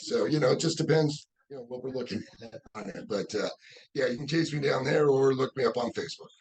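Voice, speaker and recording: Talking very fast, a man with an American accent sounds somewhat breathy. His pitch sits at a medium level. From Los Angeles area, California. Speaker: professional bowler and bowling coach. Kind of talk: casual interview. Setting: bowling alley.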